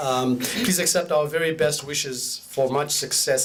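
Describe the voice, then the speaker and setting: The intonation stays fairly even. Audible room echo and noticeable background noise surround the speech. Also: man. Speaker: police inspector. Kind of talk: formal speech. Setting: stage with audience. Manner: formal.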